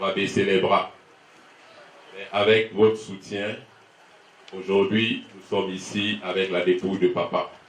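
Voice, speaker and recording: Against noticeable background noise and audible room echo, a man talks fairly slowly in a fairly low pitch with flat, monotone intonation. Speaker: son of the deceased giving thanks. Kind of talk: funeral speech.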